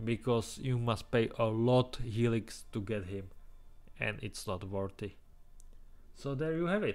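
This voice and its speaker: This man speaks at a fairly slow pace and a medium pitch, with ordinary pitch variation and long, frequent pauses. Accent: Czech. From Czech Republic. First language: Czech. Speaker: gaming youtuber. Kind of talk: game tier list commentary. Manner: halting.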